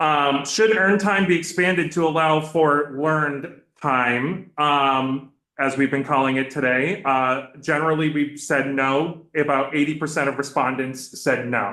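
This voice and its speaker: A man speaks at a fairly slow pace in a bright, sharp tone, his pitch fairly high with ordinary variation and his loudness very even. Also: hardly any pauses. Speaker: state government staff testifying to committee. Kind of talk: committee testimony. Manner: many fillers (um, uh).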